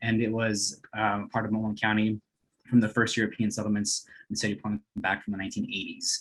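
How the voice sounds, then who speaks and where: A man's fairly low voice at a fairly quick pace. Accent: Spanish. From US West Coast (East Los Angeles). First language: Spanish. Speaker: nonprofit coordinator. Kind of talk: webinar presentation. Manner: hesitant, many fillers.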